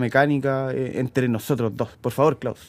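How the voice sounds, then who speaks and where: A man with a Chilean accent, in a dry, close sound with no echo. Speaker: mechanic, podcast co-host. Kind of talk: casual chat.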